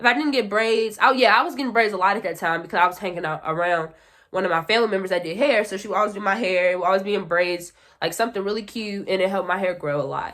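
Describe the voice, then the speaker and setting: This woman talks at a very fast pace. Her pitch is medium, with ordinary variation. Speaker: beauty YouTuber. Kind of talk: casual vlog talk.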